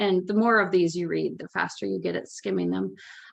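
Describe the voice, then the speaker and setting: The background stays quiet while a woman talks. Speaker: poet and teaching artist. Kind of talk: workshop presentation. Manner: fast.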